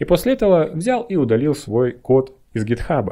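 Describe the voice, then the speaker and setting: Against a quiet background, a man's voice comes across dark and mellow in tone. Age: 30s. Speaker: satirical IT video blogger doing stand-up. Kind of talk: stand-up comedy monologue, satirical bit with setups and punchlines. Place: home room. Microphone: studio mic.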